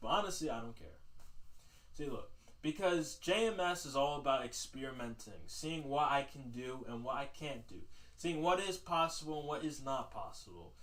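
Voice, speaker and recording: There is audible room echo around this man's voice. He speaks at a moderate pace and a fairly high pitch. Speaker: livestream host. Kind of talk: casual livestream monologue. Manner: loud.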